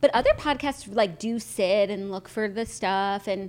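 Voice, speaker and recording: A woman talks with an American accent. Her pace is fairly slow. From New York City. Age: 20s. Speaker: podcast co-host. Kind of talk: casual chat; reading aloud.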